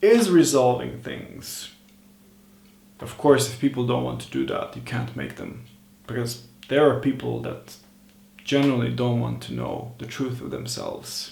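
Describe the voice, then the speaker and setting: A man with a non-native accent speaks at a moderate pace, leaving long, frequent pauses, with big swings in loudness. Noticeable background noise and audible room echo fill the recording. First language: not English. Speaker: self-improvement vlogger. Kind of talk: casual monologue vlog. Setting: at home over morning tea.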